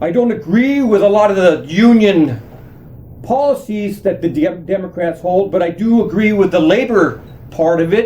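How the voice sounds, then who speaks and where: A high-pitched man with lively intonation at a moderate pace, against noticeable background noise. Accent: American. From USA. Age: 60s. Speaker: political commentator on social media. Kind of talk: direct-to-camera monologue. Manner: animated.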